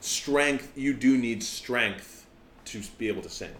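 Speaking at a fairly slow pace, a man with a medium-pitched voice is heard in a room with audible echo. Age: 20s. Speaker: podcast host and opera singer. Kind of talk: casual chat.

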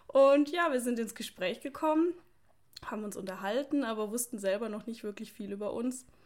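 A woman speaks at a moderate pace in a high pitch. Her pitch variation is ordinary. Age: 20s. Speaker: podcast co-host, police officer and online fitness coach. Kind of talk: casual chat.

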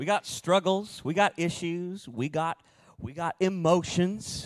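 This man has a high-pitched voice, recorded with a dry, close sound and no echo. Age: 30s. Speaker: associate pastor. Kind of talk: sermon.

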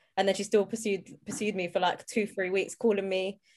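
A woman with a London accent talks at a fairly quick pace. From South London. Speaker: comedian and social media commentator. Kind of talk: casual chat.

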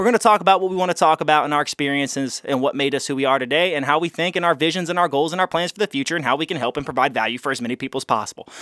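Very fast with hardly any pauses, a man's fairly high, bright, sharp voice shows ordinary pitch variation in a dry, close sound with no echo and a very clean recording with a silent background. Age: 20s. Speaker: podcast host. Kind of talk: solo podcast monologue. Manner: casual, profane.

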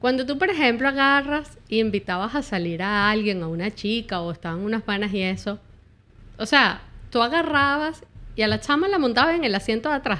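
Here a woman with a Caracas accent speaks at a fairly quick pace and fairly high pitch. Her bright, sharp tone swings very widely in pitch on a very clean recording with a silent background. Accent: Venezuelan Spanish (Caracas). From Venezuela, Caracas. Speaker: YouTuber. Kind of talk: casual chat.

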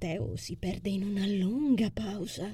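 Speaking with vocal fry, a woman at medium pitch has a dark, mellow tone that also sounds anxious and warm. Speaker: audiobook narrator and author. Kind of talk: literary audiobook reading of a first-person novel, intimate narration with dialogue.

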